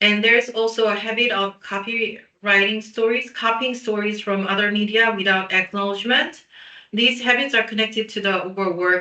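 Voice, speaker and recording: Her pitch is fairly high, and this speaker is a woman. She keeps a moderate pace and fairly even intonation. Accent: Korean. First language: Korean. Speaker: PR specialist. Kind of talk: webinar presentation. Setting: online webinar.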